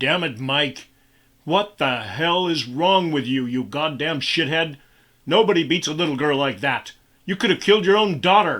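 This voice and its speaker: Putting on a growling character voice, a man speaks at a moderate pace with lively intonation and a fairly high pitch. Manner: menacing, furious.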